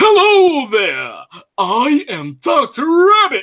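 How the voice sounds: A put-on character voice, high in pitch and very slow in pace.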